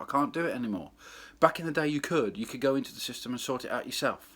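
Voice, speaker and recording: Moving at a very fast pace, the man is heard in a very clean recording with a silent background. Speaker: club DJ. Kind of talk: casual vlog monologue. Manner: loud.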